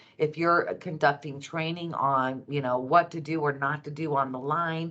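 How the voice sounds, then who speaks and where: A woman's very deep, low voice at a moderate pace with fairly even intonation. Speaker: food safety trainer. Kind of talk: webinar presentation. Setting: video call webinar. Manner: hesitant with fillers.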